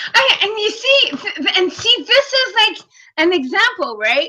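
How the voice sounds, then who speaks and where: Projecting a raised voice in a bright, sharp tone, a woman speaks at a very slow pace with very wide pitch swings. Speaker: podcast co-host and life coach. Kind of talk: casual chat. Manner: loud; animated.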